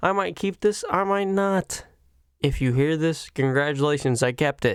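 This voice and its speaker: In a put-on character voice at middle pitch, the speaker mumbles at a moderate pace. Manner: mumbling.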